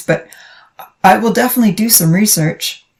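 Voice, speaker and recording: A raspy, female-sounding put-on character voice at a medium pitch for a woman and a fairly quick pace. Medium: read story. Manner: soft-spoken.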